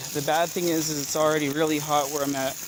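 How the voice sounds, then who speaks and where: The speech moves at a very fast pace. Noticeable background noise can be heard. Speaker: citizen journalist. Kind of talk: on-scene narration while filming. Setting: outdoors.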